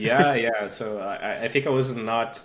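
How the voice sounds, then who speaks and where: There is noticeable background noise as a man talks in a medium pitch. His intonation is monotone and flat. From Brazil. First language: Portuguese. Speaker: engineering manager and tech speaker. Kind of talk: podcast interview.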